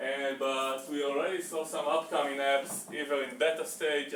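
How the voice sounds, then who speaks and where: Audible room echo and noticeable background noise surround a man speaking at a moderate pace in a fairly high voice. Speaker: meetup presenter. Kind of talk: presentation talk. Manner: halting, many fillers.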